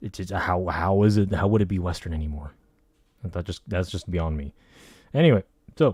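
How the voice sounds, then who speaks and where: In a very clean recording with a silent background, a man's dark, mellow tone comes through dry and close with no echo, showing ordinary pitch variation at a moderate pace. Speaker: political commentary streamer. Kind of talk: casual commentary livestream. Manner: halting, fumbling over words.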